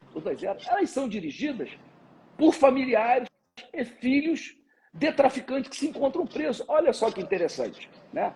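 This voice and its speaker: With music playing behind him, a man talks at a moderate pace in an extremely high voice. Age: 60s. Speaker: security expert, former police captain. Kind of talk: live interview.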